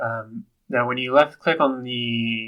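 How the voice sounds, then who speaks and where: A man talks with an American accent. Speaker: software tutorial presenter. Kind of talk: tutorial. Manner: halting with many fillers; casual.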